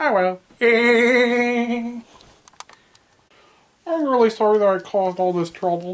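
A female-sounding voice performs a cartoonish character voice at a fairly high pitch. The pace is fairly slow, with long, frequent pauses. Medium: puppet show. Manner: touchy, sulky.

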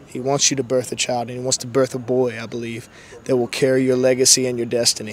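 Light background noise sits under a man talking at a very fast pace, the sound dry with no echo. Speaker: street evangelist. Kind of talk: prophetic ministry talk and prayer. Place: waterside. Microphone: handheld.

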